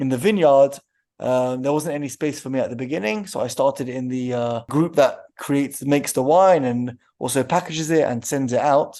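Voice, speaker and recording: Over a quiet background, a man with a London accent speaks at a moderate pace. His pitch is fairly high, with ordinary variation. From London, England. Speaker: winery co-owner. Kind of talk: interview answers.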